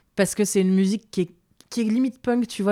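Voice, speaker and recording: Very fast and fairly even in intonation, a woman's dark, mellow voice sounds dry and close with no echo in a very clean recording with a silent background. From northern France, Lille. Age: 30s. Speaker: DJ. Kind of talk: casual interview.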